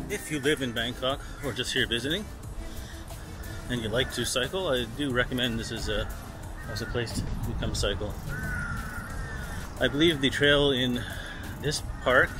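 Amid music in the background, a man speaks at a moderate pace with ordinary pitch variation and long, frequent pauses, the sound dry with no echo. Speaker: travel vlogger. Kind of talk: casual vlog chat. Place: garden. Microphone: phone near.

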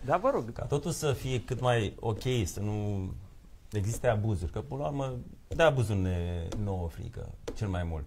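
Over light background noise, a man speaks fairly slowly in a fairly low, somewhat breathy voice with lively intonation. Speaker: lawyer. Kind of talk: live TV studio debate. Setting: TV studio. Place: studio.

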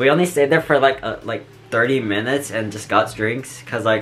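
Backed by music, a man talks at a moderate pace with ordinary pitch variation. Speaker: vlogger. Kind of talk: casual vlog chat. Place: home room. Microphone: earbuds.

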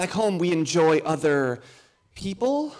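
The voice carries an American accent and very wide pitch swings. Its pace is fairly slow. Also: man. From United States. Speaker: student comedian. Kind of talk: stand-up. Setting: stage with audience. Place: stage. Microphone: handheld.

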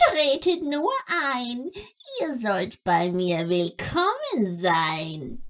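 A woman's put-on character voice, fairly high and sing-song, very slow, with very wide pitch swings. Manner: sing-song rhyming, mysterious.

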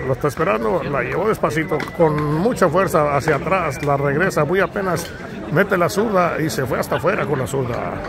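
A man at a moderate pace, dry sound with no echo, crowd noise behind him. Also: ordinary pitch variation. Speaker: amateur game commentator. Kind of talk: sports commentary. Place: open country. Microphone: phone near.

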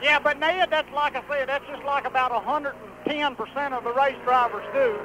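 A man's extremely high voice with ordinary pitch variation over noticeable background noise. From Southern US. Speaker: race car driver. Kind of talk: interview answer. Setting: racetrack. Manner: humorous.

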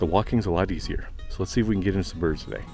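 Faint music can be heard in the background. Over it, a man talks at a very fast pace. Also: dry sound with no echo. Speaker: hunting vlogger. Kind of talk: casual vlog chat. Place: open country. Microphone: phone near.

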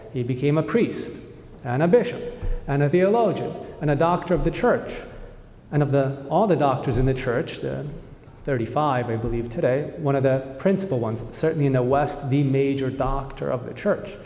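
A man at a moderate pace, with ordinary pitch variation and audible room echo. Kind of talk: homily. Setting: church. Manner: earnest; measured. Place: church. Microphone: podium.

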